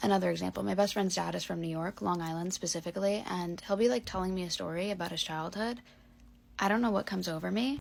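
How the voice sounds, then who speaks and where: Speaking very fast in a strong Chicago accent, a woman with a fairly low pitch and ordinary pitch variation comes through on a very clean recording with a silent background. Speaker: storyteller.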